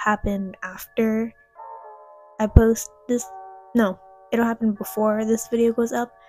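At a fairly slow pace and in a monotone, flat intonation, the voice comes through dry with no echo while faint music plays behind it. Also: woman. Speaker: faith vlogger. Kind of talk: casual vlog chat. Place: home room.

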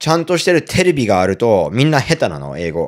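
The recording is very clean, with a silent background. The voice makes very wide pitch swings. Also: man. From abroad (non-Japanese). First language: not Japanese (speaking Japanese). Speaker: comedian. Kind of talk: casual chat.

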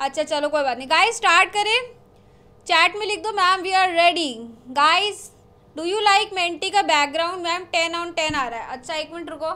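A woman projects a raised voice with a bright, sharp tone. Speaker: online teacher hosting a quiz. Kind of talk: casual live class chat, reading chat messages aloud. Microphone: studio mic.

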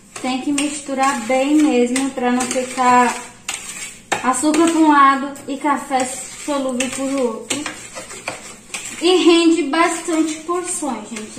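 Noticeable background noise sits under a woman's voice. She speaks at a very slow pace with fairly even intonation. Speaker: home cook vlogger. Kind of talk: tutorial. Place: kitchen. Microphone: phone near.

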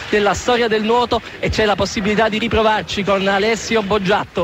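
Over background music, a man shouts at a fairly quick pace in a high, excited voice. The sound is dry with no echo. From Naples, Italy. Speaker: radio sports commentator. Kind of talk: live radio sports commentary. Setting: radio broadcast. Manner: excited, shouting.

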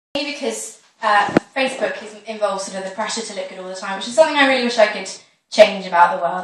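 A very fast delivery with ordinary pitch variation and audible room echo. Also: woman. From British. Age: young. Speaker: comedian. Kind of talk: stand-up comedy talk to audience. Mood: chatty, self-deprecating. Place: stage. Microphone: camera far.

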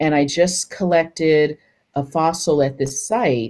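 A woman's very deep, low pitch and dark, mellow tone, fairly slow with ordinary pitch variation, over a quiet background. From US West Coast, San Francisco; California. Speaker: paleontologist; presenter. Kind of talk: lecture. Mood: warm, enthusiastic. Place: home room. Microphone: webcam.

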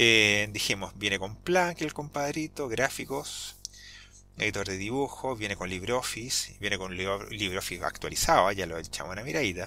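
On a very clean recording with a silent background, a man with a Chilean accent speaks at a moderate pace in a fairly low pitch, his bright, sharp tone carrying lively intonation. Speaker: Linux YouTuber. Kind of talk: tutorial. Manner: hesitant, many fillers; talkative.

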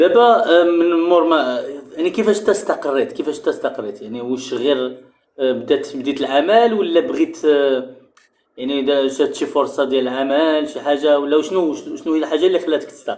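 A man with a plain, everyday voice, fairly high in pitch, at a moderate pace with lively intonation. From Morocco. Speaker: online talk show host and researcher; online talk show host. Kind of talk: live-streamed interview. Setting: online live stream. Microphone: webcam.

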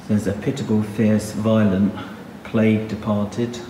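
At a slow pace, a man talks with a fairly low pitch and a dark, mellow tone over faint background noise.

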